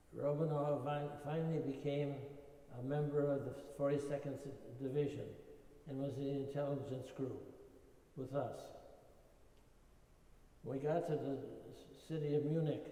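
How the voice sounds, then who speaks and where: With a fairly high pitch, a dark, mellow tone and a somewhat breathy quality, a man talks at a fairly slow pace in a monotone, flat intonation, leaving long, frequent pauses. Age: 80s+. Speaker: war veteran. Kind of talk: interview answer.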